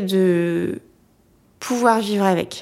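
The recording is very clean and the background silent. A woman does the talking. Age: young. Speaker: marriage and family counselor. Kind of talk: interview.

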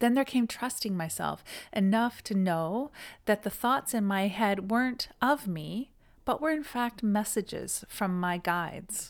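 An ordinary speaking voice with a Canadian accent, lively intonation and a moderate pace, in a very clean recording with a silent background. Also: woman. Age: 50s. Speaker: yoga teacher and podcast host. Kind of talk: solo podcast monologue.

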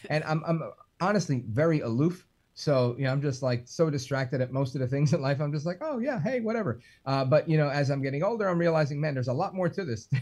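A man talks very fast in a fairly high, somewhat breathy voice. The background is quiet. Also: ordinary pitch variation. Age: 40s. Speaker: radio talk show host. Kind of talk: casual chat. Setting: video call.

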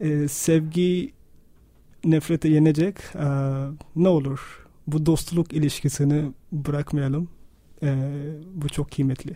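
Somewhat breathy and dark, mellow in tone, a man with a fairly high pitch speaks at a very slow pace, with fairly even intonation and long, frequent pauses. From Pakistan. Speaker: radio listener and supporter, architect. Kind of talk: radio interview. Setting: radio studio. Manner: halting, many fillers.

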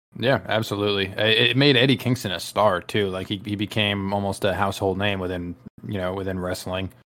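A man's fairly low voice, an unremarkable speaking voice, with fairly even intonation and a fairly quick pace. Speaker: wrestling podcast co-host. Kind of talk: casual chat.

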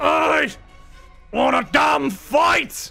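A man shouts in a put-on character voice, growling, raspy and strained. Faint music plays in the background. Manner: menacing.

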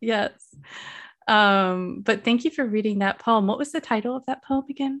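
Using a plain, everyday voice, a woman talks at a moderate pace and fairly high pitch with ordinary pitch variation, the sound dry and close with no echo against a quiet background. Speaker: poetry podcast host. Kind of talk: interview.

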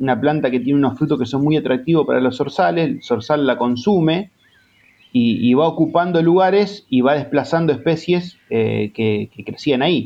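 The man talks at a moderate pace. His voice sits fairly high. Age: 40s. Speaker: native plant advocate. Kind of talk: interview. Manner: halting, many repetitions and fillers.

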